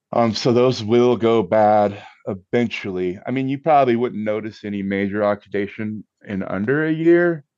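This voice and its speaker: With an ordinary speaking voice, a man talks at a moderate pace and medium pitch with ordinary pitch variation. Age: 50s. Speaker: musician and cocktail enthusiast guest. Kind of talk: casual chat.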